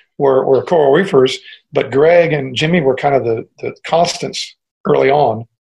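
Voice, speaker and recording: Somewhat breathy and fairly high-pitched, a man talks with an American accent. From US Midwest, Cleveland, Ohio. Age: old. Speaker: musician. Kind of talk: casual interview.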